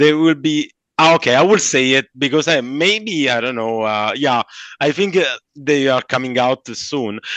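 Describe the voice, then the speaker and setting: Against a quiet background, a man with a Southern Italian accent speaks at a moderate pace in a fairly high pitch with ordinary pitch variation, the sound dry and close with no echo. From southern Italy. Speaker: comic book artist. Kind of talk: interview. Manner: halting; animated.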